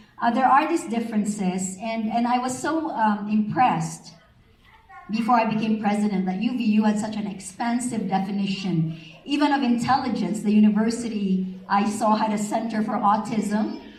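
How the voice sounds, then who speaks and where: With a Filipino accent, a woman speaks at a moderate pace and a fairly high pitch with ordinary pitch variation, amid audible room echo and noticeable background noise. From Philippines, central (Visayas). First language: Ilonggo. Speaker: university president. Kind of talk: event speech.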